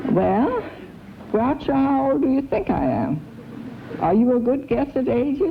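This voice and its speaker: Noticeable background noise surrounds a woman speaking. She goes at a fairly slow pace with long, frequent pauses. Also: very even loudness. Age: 70s. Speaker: quiz show contestant. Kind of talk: interview chat.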